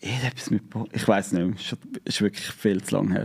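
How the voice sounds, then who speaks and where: A man speaks with a Zurich accent and ordinary pitch variation. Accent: Swiss German, Zurich dialect. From Switzerland, Zurich Oberland. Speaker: YouTuber, inline skater. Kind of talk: casual interview chat. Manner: hesitant, many filler sounds.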